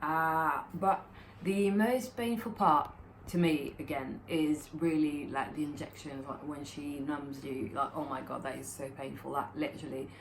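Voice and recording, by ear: At a fairly slow pace, a woman speaks with a low pitch, vocal fry and fairly even intonation.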